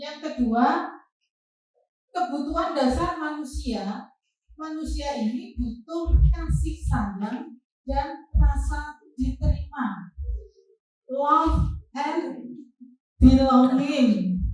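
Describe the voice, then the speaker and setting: A high-pitched woman with an East Javanese accent speaks at a very slow pace, with big swings in loudness. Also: ordinary pitch variation. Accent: Lamongan Javanese. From East Java, Lamongan. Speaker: teacher. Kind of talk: staff training presentation.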